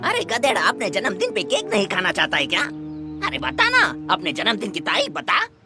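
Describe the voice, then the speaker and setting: Clear music plays in the background. Over it comes a put-on character voice at a fairly quick pace. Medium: fan dub. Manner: brash, slangy.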